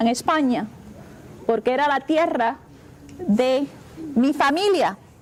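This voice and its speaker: A woman with a high pitch speaks at a moderate pace. Her intonation is lively, with noticeable background noise behind her. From Spain (Basque region), born in Cuba. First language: Spanish. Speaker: university president. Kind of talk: talk to schoolchildren. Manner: animated.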